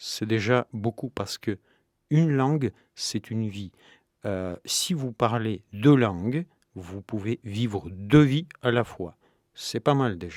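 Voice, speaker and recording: At a very slow pace and with lively intonation, the speaker has a Russian accent, recorded very cleanly with a silent background and a dry, close sound with no echo. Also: man. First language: Russian (speaking French). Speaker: novelist. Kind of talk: radio interview. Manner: hesitant, many fillers.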